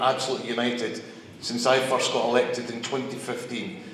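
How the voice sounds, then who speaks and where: A man with a Scottish accent, medium pitch and ordinary pitch variation, at a fairly quick pace, with audible room echo and noticeable background noise. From Scotland. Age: 50s. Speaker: member of parliament. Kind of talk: public speech. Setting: live event with audience.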